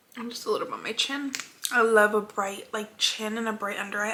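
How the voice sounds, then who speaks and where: Noticeable background noise sits behind the recording. A woman with a fairly high pitch talks at a very fast pace. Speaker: beauty vlogger. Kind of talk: makeup tutorial.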